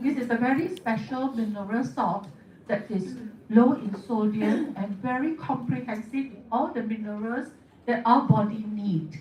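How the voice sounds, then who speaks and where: Over noticeable background noise and audible room echo, a woman speaks at a moderate pace. Her voice is fairly high, with lively intonation. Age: 70s. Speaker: beauty therapist and product distributor. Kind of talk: testimony.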